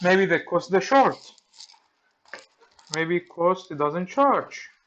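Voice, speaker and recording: A man speaks at a very slow pace with a Greek accent. His pitch is high and his intonation lively. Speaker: electronics repair technician. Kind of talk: tutorial. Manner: halting.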